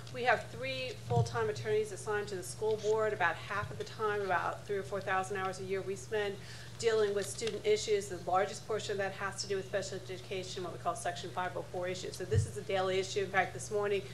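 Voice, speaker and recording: Speaking with an American accent at a medium pitch, a woman races along at a very fast pace with hardly any pauses and very wide pitch swings, amid noticeable background noise and audible room echo. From northern US. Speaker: school board attorney. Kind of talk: panel talk. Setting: conference panel with audience.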